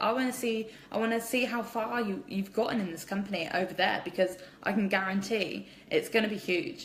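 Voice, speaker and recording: Someone with an English accent speaks at a fairly quick pace in an animated tone. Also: woman. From England. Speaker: direct sales distributor. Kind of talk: live social media Q&A. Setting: at home, live stream. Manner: kept quiet.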